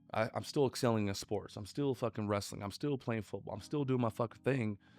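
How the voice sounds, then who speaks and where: A man with an American accent, medium-pitched, at a fairly quick pace, animated in tone, with ordinary pitch variation and a dry, close sound with no echo. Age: 40s. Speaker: entrepreneur. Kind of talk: casual interview.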